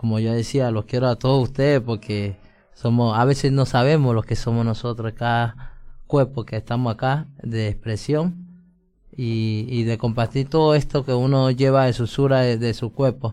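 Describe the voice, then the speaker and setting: A man speaks at a moderate pace and medium pitch with fairly even intonation while music plays in the background. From Colombia. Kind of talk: casual chat.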